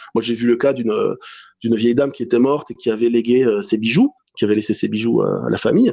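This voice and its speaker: This man has a dark, mellow tone and fairly even intonation. He talks at a fairly quick pace. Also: medium pitch for a man. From southwest France, Landes. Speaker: spiritual medium. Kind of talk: interview. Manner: hesitant, many fillers.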